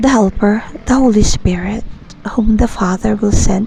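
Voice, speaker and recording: Background noise is noticeable behind this woman's voice. She speaks at a moderate pace and a medium pitch. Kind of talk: whispered poem and scripture reading. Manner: whispered, soft-spoken.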